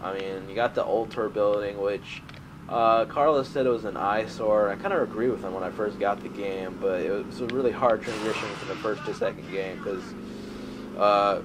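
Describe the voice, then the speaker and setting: Noticeable background noise is present throughout. The man speaking has a fairly low pitch. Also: fairly even intonation, moderate pace. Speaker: gaming youtuber. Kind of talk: gameplay commentary. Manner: monotone.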